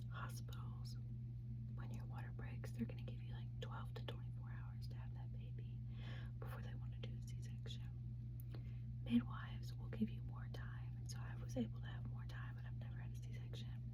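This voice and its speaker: A woman's very deep, low voice in a monotone, flat intonation, over noticeable background noise. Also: moderate pace. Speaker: mother of four, ASMR creator. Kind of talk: whispered ASMR storytime. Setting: home, recorded to camera. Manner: whispered, soft.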